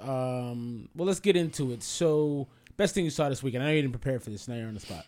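With an ordinary speaking voice, a man talks at a fairly quick pace and fairly high pitch, his intonation lively. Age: 30s. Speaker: podcast host. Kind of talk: casual chat.

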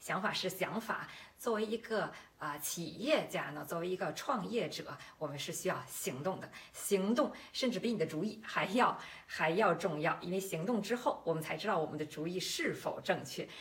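A woman with a medium pitch and lively intonation talks at a moderate pace against noticeable background noise. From Beijing, China. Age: 40s. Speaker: podcast host and health-nutrition entrepreneur. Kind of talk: promotional monologue. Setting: livestream.

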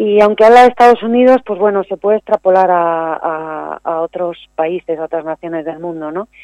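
Her voice is fairly low, with a dark, mellow tone. The woman keeps a moderate pace with hardly any pauses. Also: ordinary pitch variation, dry, close sound with no echo. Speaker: poet. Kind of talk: poetry reading, spoken word; interview. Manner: solemn, measured, declamatory delivery.

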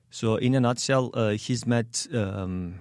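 Speaking very slowly, a man with a Turkish accent keeps a fairly even intonation. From Turkey (Soma, Manisa). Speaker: immigrant, educator. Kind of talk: interview. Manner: halting, many fillers.

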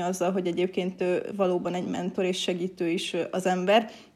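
A dark, mellow tone at a moderate pace. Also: woman. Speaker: university lecturer in teacher education. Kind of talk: casual interview.

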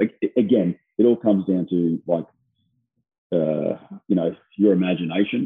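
A man talks in a very deep, low voice. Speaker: strength and conditioning coach. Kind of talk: casual interview.

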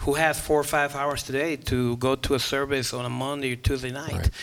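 A man talks at a fairly quick pace and fairly high pitch with fairly even intonation. Noticeable background noise runs underneath. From Guatemala. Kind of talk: casual chat.

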